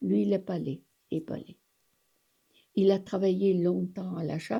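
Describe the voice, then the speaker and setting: Speaking at a moderate pace, a woman uses a medium pitch with ordinary variation and a dark, mellow tone. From French Alps, Briançonnais. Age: 80s+. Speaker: elderly local witness. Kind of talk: oral history interview. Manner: halting.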